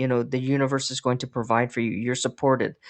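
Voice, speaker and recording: Against a quiet background, a woman speaks at a very deep, low pitch. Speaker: psychic tarot reader. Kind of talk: tarot reading monologue. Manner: halting, many fillers.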